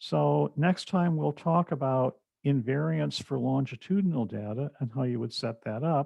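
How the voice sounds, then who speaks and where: A man speaks in a plain, everyday voice at a medium pitch. His pace is moderate and his intonation lively. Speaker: professor. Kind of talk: lecture.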